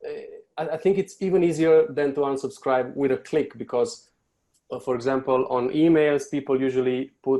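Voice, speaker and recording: With a Romanian accent, a man speaks in a dark, mellow tone with ordinary pitch variation. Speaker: marketing agency owner. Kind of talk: podcast interview. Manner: halting.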